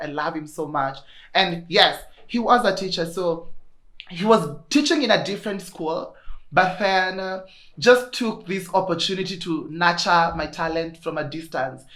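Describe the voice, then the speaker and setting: A woman's fairly low pitch in audible room echo. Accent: Kenyan. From Kenya, Kirinyaga. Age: 20s. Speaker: podcaster. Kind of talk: casual chat. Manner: animated.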